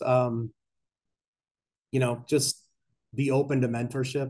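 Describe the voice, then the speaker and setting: His voice has a somewhat breathy quality. The man's pitch falls in the medium range. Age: 50s. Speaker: bank executive and conference speaker. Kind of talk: conference talk. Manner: fast.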